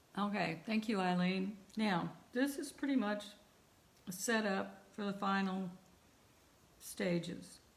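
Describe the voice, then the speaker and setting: A somewhat breathy woman at a medium pitch, very slow, with ordinary pitch variation, long and frequent pauses, and audible room echo. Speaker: art teacher. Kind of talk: online class tutorial. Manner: trails off when thinking.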